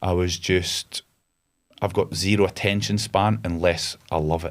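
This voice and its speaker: This man has a very deep, low voice and a Scottish Borders accent. He speaks at a fairly slow pace with fairly even intonation. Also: very clean recording, silent background. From Scotland (Galashiels, Scottish Borders). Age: 30s. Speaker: entrepreneur, army veteran. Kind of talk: podcast interview. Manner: casual, hesitant with many fillers.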